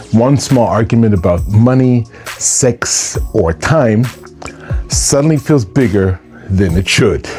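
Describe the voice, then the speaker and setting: A man speaks very slowly at a medium pitch with lively intonation. His loudness stays very even, and music plays in the background. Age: 60s. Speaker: relationship and personal growth speaker. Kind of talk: motivational talk to camera.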